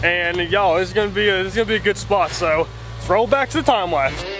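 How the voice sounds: Over clear background noise, a man with a high pitch talks at a fast pace with ordinary pitch variation.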